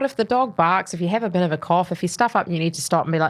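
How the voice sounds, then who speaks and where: A woman's fairly low voice in a New Zealand accent, very fast with lively intonation, on a very clean recording with a silent background. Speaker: mortgage adviser. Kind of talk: casual interview chat. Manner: articulate.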